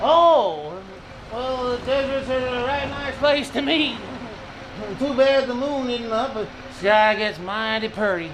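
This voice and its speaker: In a put-on character voice, a man drawls at a fairly slow pace in an extremely high pitch, with clear background noise behind him. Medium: audio drama. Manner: folksy drawl, rustic grammar.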